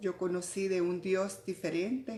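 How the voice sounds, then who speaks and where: A woman talks very slowly. Background music plays beneath her. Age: 60s. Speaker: church fellowship member. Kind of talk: testimony. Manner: halting.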